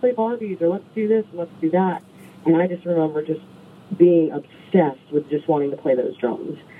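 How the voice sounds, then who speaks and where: A woman in an American accent talks very fast with a fairly low pitch and lively intonation. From New York State, rural. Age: 40s. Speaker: singer-songwriter. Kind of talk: casual interview.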